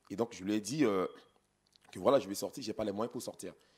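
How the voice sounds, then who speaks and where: A man speaks at a fairly low pitch with ordinary pitch variation. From Central African Republic. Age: 30s. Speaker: politician. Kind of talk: interview. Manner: halting. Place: studio. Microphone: handheld.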